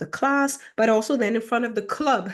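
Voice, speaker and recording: A woman with a German accent and ordinary pitch variation. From Germany, with early childhood in Ghana. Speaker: self-help YouTuber. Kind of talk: casual monologue. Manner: halting, many fillers.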